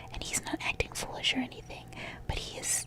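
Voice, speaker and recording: Whispered words come at a moderate speed against noticeable background noise. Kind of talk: whispered ASMR talk to camera.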